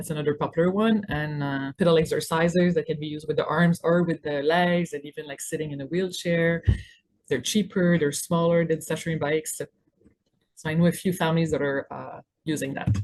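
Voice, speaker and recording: Here a woman with a Quebec accent speaks in a fairly low voice at a fairly quick pace, her intonation fairly even. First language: French. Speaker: physiotherapist. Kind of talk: webinar presentation. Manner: hesitant with fillers.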